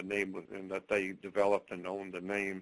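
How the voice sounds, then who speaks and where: A man with an American accent speaks in a fairly low voice. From US South, northwest Florida (Pensacola). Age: 70s. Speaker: occult researcher and author. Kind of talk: interview.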